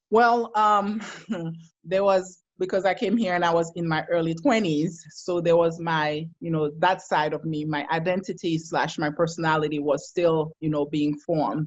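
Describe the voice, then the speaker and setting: This woman has a Haitian accent and a fairly low pitch. She talks at a moderate pace with ordinary pitch variation. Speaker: psychologist. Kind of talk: casual chat.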